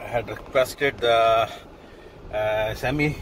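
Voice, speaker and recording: Noticeable background noise sits under a dry sound with no echo. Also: man. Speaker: food vlogger. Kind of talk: casual vlog chat. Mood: relaxed, content. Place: car. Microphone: phone near.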